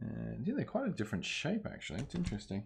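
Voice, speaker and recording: The man talks fairly quickly. He has an Australian accent. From Australia (Ballarat, Victoria). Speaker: streamer. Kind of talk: live-stream repair tutorial. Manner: casual, thinking aloud.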